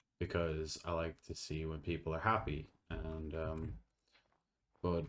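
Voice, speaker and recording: A man with an Irish accent, his very deep, low voice carried on a fairly even intonation. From Ireland. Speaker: gaming YouTuber. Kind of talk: casual chat. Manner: halting; soft-spoken.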